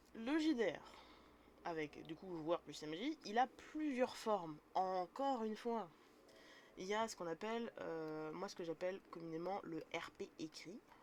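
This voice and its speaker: A woman at a medium pitch talks fairly slowly, her voice making very wide pitch swings. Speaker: streamer teaching tabletop role-playing. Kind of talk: live stream tutorial. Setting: live stream. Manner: casual, hesitant.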